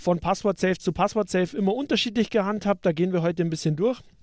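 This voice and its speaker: A man speaks at a high pitch and a fairly quick pace, with ordinary pitch variation. The recording is very clean, with a silent background and a dry, close sound with no echo. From Upper Bavaria, Germany. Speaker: podcast co-host. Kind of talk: casual tech discussion.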